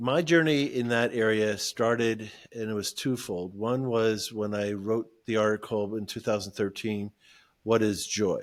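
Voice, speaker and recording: A man speaks in a normal speaking voice at a medium pitch and a fairly slow pace. The recording is very clean, with a silent background. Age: 60s. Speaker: ministry founder. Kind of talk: podcast interview testimony.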